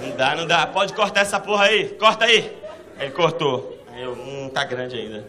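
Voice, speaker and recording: Over noticeable background noise and audible room echo, a man speaks at a moderate pace in an animated tone, high-pitched, with very wide pitch swings and big swings in loudness. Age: 30s. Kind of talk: stand-up.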